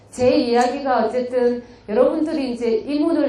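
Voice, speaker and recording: In a Busan accent, a woman talks at a very slow pace with a high pitch and ordinary pitch variation, amid audible room echo and noticeable background noise. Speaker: community activist lecturer. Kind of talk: lecture. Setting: lecture hall with audience. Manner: conversational, engaging audience.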